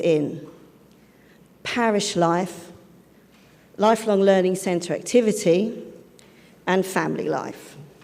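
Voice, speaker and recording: In a London accent, a woman talks at a fairly slow pace and a medium pitch with ordinary pitch variation, with audible room echo. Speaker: charity head and safeguarding speaker. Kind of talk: conference talk. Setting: conference stage with interpreters.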